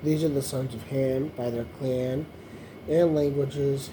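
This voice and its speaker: A fairly slow pace, with noticeable background noise and audible room echo. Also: man. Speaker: YouTuber reading the Bible aloud. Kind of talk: reading aloud with commentary. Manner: slow, hesitant reading; casual asides.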